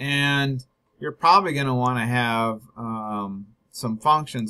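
A man's bright, sharp voice at a fairly slow pace, with ordinary pitch variation and a quiet background. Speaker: instructor. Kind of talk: tutorial.

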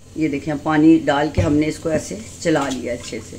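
A woman's low-pitched voice in a dark, mellow tone, at a moderate pace over faint background noise. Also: fairly even intonation.

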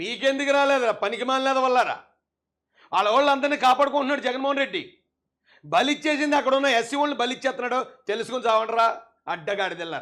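Extremely high in pitch, a man's voice moves with ordinary pitch variation. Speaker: political activist. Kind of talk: political rant. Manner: animated.

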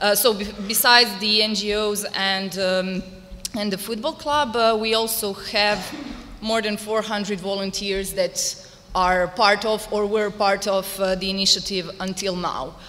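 A woman's medium-pitched voice with a Croatian accent, very slow and fairly even in intonation. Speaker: activist and volunteer; panelist. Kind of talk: panel discussion. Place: hall. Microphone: podium.

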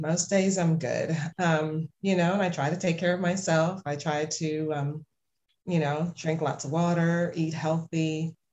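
A woman speaks with a somewhat breathy, fairly low voice in a monotone, flat delivery and an American accent. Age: 40s. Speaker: music marketing coach. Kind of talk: casual interview chat. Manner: hesitant, many fillers.

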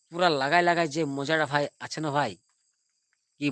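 A man's fairly high pitch in a plain, everyday voice, ordinary pitch variation, in a very clean recording with a silent background. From India, West Bengal, Purulia. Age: 30s. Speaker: live streamer. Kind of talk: casual live stream chat. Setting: live stream. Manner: repetitive, rambling.

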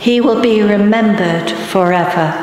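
Through strong room echo and light background noise, a woman talks at a fairly slow pace with a fairly high pitch. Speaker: lector, congregation member. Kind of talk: scripture reading aloud. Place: church. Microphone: podium.

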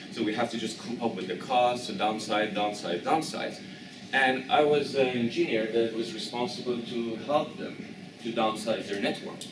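A man keeps a moderate pace and ordinary pitch variation while noticeable background noise plays behind him. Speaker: presenter. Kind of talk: lecture. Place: classroom. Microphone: camera far.

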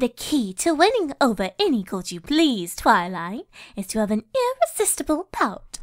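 A female-sounding put-on character voice, pitched high with very wide pitch swings, moves at a moderate pace in a very clean recording with a silent background. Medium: dub.

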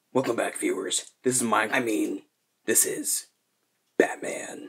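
Using a cartoonish character voice, a man talks at a fairly slow pace. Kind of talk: parody vlog to camera.

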